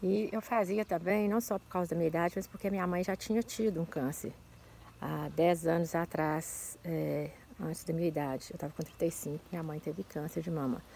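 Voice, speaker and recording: A woman speaks in a plain, everyday voice, fairly low in pitch, with ordinary pitch variation. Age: 60s. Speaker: breast cancer survivor giving testimony. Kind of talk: testimony.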